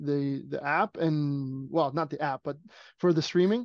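A plain, everyday voice with a Canadian accent, a moderate pace and a quiet background. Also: man. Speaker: speedway race announcer. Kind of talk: casual interview chat.

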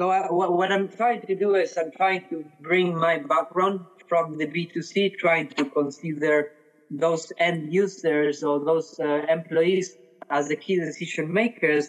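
Speaking with a Spanish accent, a man uses a high voice, fairly even intonation and a fairly slow pace. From Argentina. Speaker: head of customer experience. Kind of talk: interview. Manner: some hesitations and repeated words.

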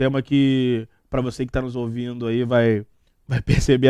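The pace is fairly slow. The intonation stays flat and monotone. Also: man. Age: 20s. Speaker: podcast host. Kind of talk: casual chat.

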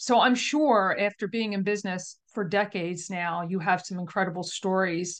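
A woman with medium pitch speaks in an ordinary speaking voice, with ordinary pitch variation over a quiet background. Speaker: podcast host. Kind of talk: interview conversation.

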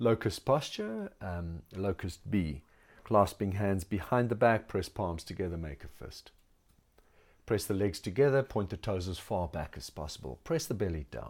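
A normal speaking voice from a man with fairly low pitch, lively intonation, big swings in loudness and a moderate pace. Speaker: yoga instructor. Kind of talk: guided yoga class instruction with meditation. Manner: calm, measured, soothing cueing with pauses; instructive and precise, gentle, with fillers like um.

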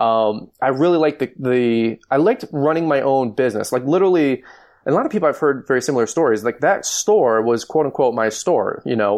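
A man with an American accent and an ordinary speaking voice, medium in pitch, fairly quick, with lively intonation, very even loudness and a quiet background. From Michigan. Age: 30s. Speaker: lawn care business owner and YouTuber. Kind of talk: interview.

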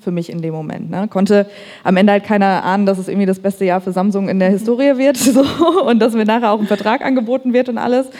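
Very fast speech from a woman, medium in pitch, dark and mellow in tone, with ordinary pitch variation. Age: 30s. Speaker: marketing agency founder. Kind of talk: panel discussion. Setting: stage with audience.

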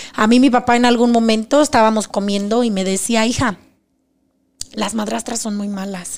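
Long, frequent pauses break up a woman's moderate pace, her fairly high pitch carrying ordinary pitch variation. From Mexico, Zacatecas. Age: 40s. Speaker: abuse survivor sharing her story. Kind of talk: testimony.

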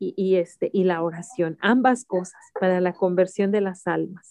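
Recorded dry and close with no echo, a woman with a dark, mellow tone and a medium pitch speaks at a fairly slow pace. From Mexico City. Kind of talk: interview testimony.

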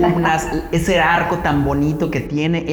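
Over noticeable background noise and audible room echo, a man with a fairly high pitch talks at a moderate pace. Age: 40s. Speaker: podcast host and runner. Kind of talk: interview.

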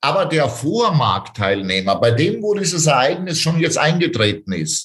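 A man's fairly high voice with vocal fry, fairly slow, with very wide pitch swings. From Austria, Styria. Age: 40s. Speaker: real estate sales trainer. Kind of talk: interview.

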